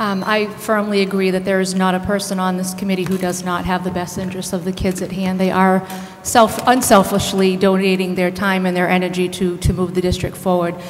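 A woman with an American accent talks at a fairly quick pace in a monotone, flat intonation. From Southbridge, Massachusetts; Massachusetts. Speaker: school committee candidate; candidate. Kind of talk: candidate debate. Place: hall. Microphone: podium.

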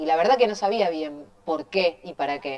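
This woman's voice sits very deep and low in pitch, with ordinary pitch variation. She keeps a moderate pace against a quiet background. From Argentina, Quilmes (Buenos Aires); Buenos Aires, Argentina. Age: 30s. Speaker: mayor, politician. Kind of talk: interview. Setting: studio. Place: studio.

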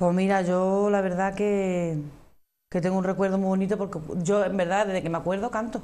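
In an Andalusian accent, a woman speaks at a moderate pace with flat, monotone intonation. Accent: Andalusian (Cádiz). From Andalusia, Arcos de la Frontera (Cádiz); Andalusia, Spain. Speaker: flamenco singer; guest. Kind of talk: interview. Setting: TV studio. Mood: warm, fond recollection. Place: studio. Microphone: lapel.

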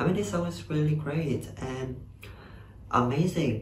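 Light background noise runs under the voice. The room gives an audible echo. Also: man. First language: Vietnamese. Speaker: YouTuber reacting to music videos. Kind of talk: casual reaction commentary. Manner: halting, many fillers. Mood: enthusiastic, friendly. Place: home room. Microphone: webcam.

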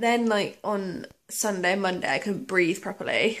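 A woman's voice at a moderate pace. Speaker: vlogger. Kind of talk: casual vlog chat. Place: home room. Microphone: phone near.

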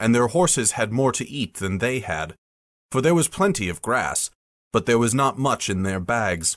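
This is plain reading aloud with lively intonation. The background is quiet.

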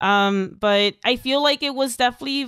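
In an American accent, a woman speaks with ordinary pitch variation, the sound dry with no echo over a quiet background. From Texas border town. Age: 20s. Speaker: streamer and former music teacher. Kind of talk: casual interview. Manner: halting. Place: home room. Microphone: headset.

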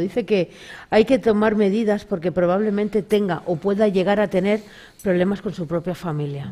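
A woman talks at a fairly quick pace in a dark, mellow tone. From Galicia, Spain. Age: 40s. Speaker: spiritual medium; talk show guest. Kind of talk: casual interview with audience readings. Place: studio.

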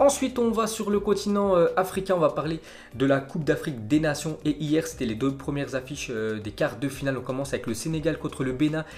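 Talking at a fairly quick pace, a man moves through very wide pitch swings. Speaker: football news youtuber. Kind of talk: commentary. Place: home room.

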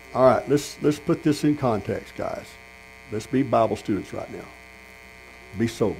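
With a Texan accent, a man talks at a moderate pace and a medium pitch, with vocal fry and ordinary pitch variation. His loudness swings widely, long pauses come often, and light background noise sits underneath. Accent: Texan Southern US. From Texas. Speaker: pastor. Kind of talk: sermon. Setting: tent meeting with congregation. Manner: animated. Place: tent. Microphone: handheld.

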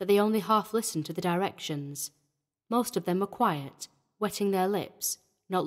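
Over quiet surroundings comes plain reading aloud, its pitch varying in an ordinary way.

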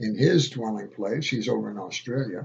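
A man talks with ordinary rises and falls in pitch and a somewhat breathy quality. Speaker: home video blogger. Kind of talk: casual vlog chat. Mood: calm, reflective. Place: home room. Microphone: webcam.

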